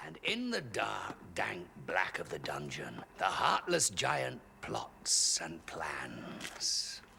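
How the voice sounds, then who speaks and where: A man speaks very slowly in a raspy, put-on character voice, with clear background noise behind him. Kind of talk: fairy tale narration.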